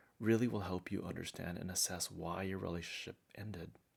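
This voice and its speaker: A soft-spoken man is talking. The recording is very clean with a silent background. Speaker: relationship advice YouTuber. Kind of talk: conversational advice talk to camera.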